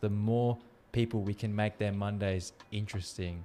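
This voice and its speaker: A man speaks at a moderate pace in an unremarkable speaking voice. His pitch is fairly low and his intonation fairly even. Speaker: podcast host. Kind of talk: casual interview chat.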